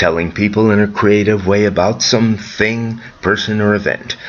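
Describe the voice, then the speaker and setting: There is noticeable noise behind a man whose voice is fairly low, and he speaks at a medium speed. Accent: American. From US Midwest, Chicago area. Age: 70s. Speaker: storyteller. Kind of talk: scripted narration.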